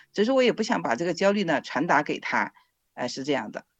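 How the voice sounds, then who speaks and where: A woman talks with very wide pitch swings while music plays in the background. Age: 50s. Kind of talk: interview testimony.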